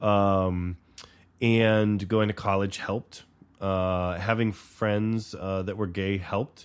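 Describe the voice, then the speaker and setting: Recorded very cleanly against a silent background, a man with a very deep, low pitch speaks in a monotone, flat way. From US South. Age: middle-aged. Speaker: podcast co-host. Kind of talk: casual chat.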